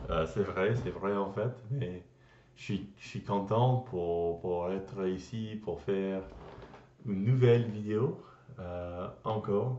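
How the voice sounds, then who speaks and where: Speaking very slowly, a man uses a fairly low pitch with ordinary pitch variation. His loudness swings widely. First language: English (speaking French). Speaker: language learner vlogger. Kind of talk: casual vlog. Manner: halting, many hesitations and restarts.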